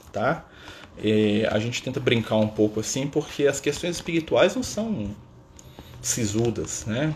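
Speaking at a fairly slow pace, a man with an unremarkable speaking voice uses lively intonation at a medium pitch. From Minas Gerais, Brazil (Contagem). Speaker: spiritist study leader. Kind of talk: livestream talk. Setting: Instagram live stream. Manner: relaxed, filler-heavy with frequent né.

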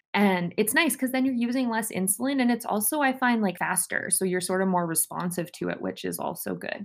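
With a Canadian accent and a normal speaking voice, a woman talks at a fairly quick pace in a medium pitch, her intonation lively and her pauses hardly any. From Saskatchewan, Canada. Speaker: podcast co-host, medical student. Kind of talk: casual chat.

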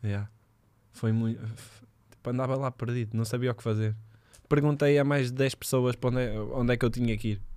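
A man's dark, mellow, medium-pitched voice, flat and monotone at a fairly quick pace, on a very clean recording with a silent background. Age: 20s. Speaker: footballer. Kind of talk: casual chat.

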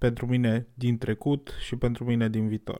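On a very clean recording with a silent background and a dry, close sound with no echo, a man speaks fairly slowly at a medium pitch. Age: 20s. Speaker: podcaster. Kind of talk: personal reflection monologue.

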